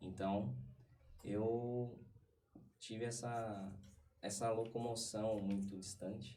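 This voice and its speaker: A man with a São Paulo accent talks at a very slow pace with long, frequent pauses, a fairly low pitch and fairly even intonation, amid audible room echo. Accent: Paulistano Brazilian Portuguese. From Brazil, São Paulo East Zone. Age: 30s. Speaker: podcast guest. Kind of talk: casual interview chat. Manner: hesitant, many fillers.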